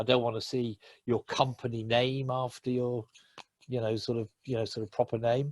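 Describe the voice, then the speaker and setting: A man with an English accent speaks at a medium pitch, his voice somewhat breathy. The intonation is monotone and flat, and the sound is dry and close with no echo. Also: moderate pace. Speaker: LinkedIn trainer. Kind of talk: webinar presentation.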